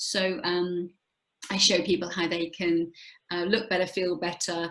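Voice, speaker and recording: Using an ordinary speaking voice, a woman talks at a moderate pace and medium pitch. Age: 60s. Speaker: health and wellness coach. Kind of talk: casual interview chat.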